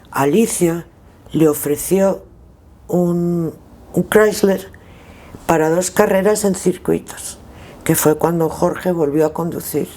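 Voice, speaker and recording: A woman with a dark, mellow tone speaks at a very slow pace with fairly even intonation. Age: 60s. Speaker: former rally driver and co-driver. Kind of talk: interview, reminiscing. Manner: halting, with repetitions.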